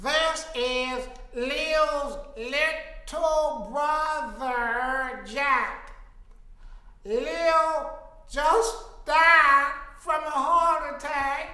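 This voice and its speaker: A put-on character voice moves at a very slow pace, with a clear echo around it. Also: woman, high pitch for a woman. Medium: stage play.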